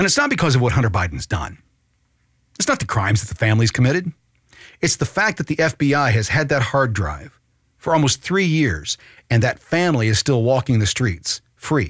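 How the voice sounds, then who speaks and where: At a fairly quick pace, a man talks with vocal fry and very wide pitch swings in a dry, close sound with no echo. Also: medium pitch for a man. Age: 50s. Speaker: political podcast host. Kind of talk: political commentary podcast. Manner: animated.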